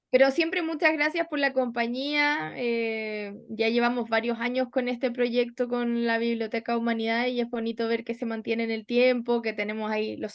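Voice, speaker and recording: The speaker is a woman at a fairly high pitch. She keeps a moderate pace. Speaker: book club leader. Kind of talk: casual chat. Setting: live stream. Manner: animated.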